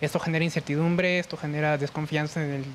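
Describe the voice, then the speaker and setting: A fairly high-pitched man at a very fast pace, with monotone, flat intonation. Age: 20s. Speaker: young panelist. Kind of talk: panel discussion. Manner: hesitant, many fillers.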